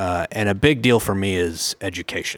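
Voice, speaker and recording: In an American accent, a man with an unremarkable speaking voice talks at a fairly low pitch with ordinary pitch variation, captured in a very clean recording with a silent background. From Oklahoma City, US. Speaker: mortgage lender executive. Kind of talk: casual interview.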